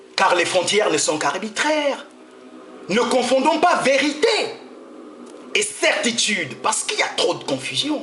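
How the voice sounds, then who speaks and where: Against music in the background and audible room echo, a man talks at a fairly slow pace with long, frequent pauses, his extremely high pitch making very wide swings. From Gabon. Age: 70s. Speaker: freemason speaker. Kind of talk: address to an audience.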